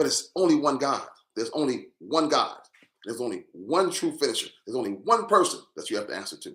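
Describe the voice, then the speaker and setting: Animated in tone, a man talks at a very fast pace with big swings in loudness. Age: 60s. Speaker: social commentator. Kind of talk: live stream monologue.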